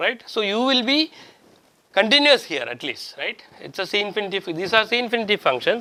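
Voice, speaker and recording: A man's raised, projected voice, high-pitched with a bright, sharp tone and lively intonation, at a fairly quick pace on a very clean recording with a silent background. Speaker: professor. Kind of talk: lecture. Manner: halting.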